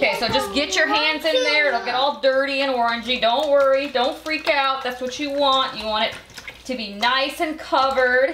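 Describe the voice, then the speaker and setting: A woman uses a raised, projected voice at a high pitch with fairly even intonation. Audible room echo and noticeable background noise are present. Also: moderate pace. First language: Belizean English Creole. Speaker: home cooking show host. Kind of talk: cooking tutorial.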